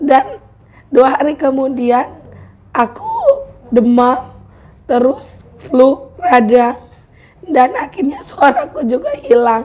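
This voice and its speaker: Through noticeable background noise, a high-pitched woman speaks at a very slow pace, taking long, frequent pauses. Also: ordinary pitch variation. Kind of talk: casual vlog talk to camera.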